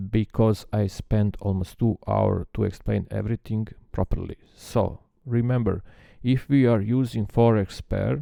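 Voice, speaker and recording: A man with a non-native accent speaks in a dark, mellow tone at fairly low pitch and a fairly slow pace. His intonation is fairly even, and the sound is dry and close with no echo. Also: very clean recording, silent background. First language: not English. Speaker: trading software developer. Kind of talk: tutorial. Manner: halting, many filler sounds.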